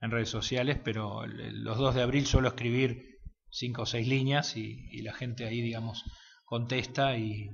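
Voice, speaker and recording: A man's somewhat breathy, medium-pitched voice in an Argentine accent, fairly slow and flat in a monotone. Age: 50s. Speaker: war veteran. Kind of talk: interview answer.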